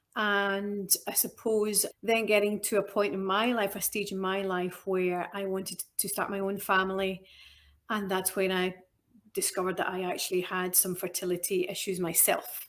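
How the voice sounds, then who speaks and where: A woman speaks in a strong Scottish accent. Her intonation is monotone and flat. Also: medium pitch for a woman, very clean recording, silent background. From Scotland. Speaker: nutritional therapist. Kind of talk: interview conversation. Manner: deliberately slower and clearer.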